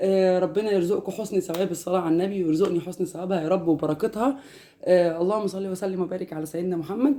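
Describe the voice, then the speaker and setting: A woman with an Egyptian accent talks at a fairly quick pace with hardly any pauses, her medium-pitched voice dark and mellow in tone and her intonation fairly even. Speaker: homemaker vlogger. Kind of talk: casual vlog talk.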